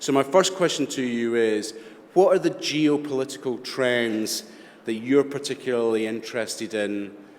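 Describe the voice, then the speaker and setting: A man with a Scottish accent speaks fairly slowly at a medium pitch, his intonation lively. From Scotland. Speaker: panel moderator. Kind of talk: moderated panel discussion.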